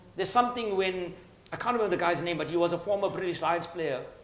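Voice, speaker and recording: A man talks very fast with ordinary pitch variation. Audible room echo and noticeable background noise are present. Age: 60s. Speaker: book author. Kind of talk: panel discussion at book launch. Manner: halting, with frequent word repetitions.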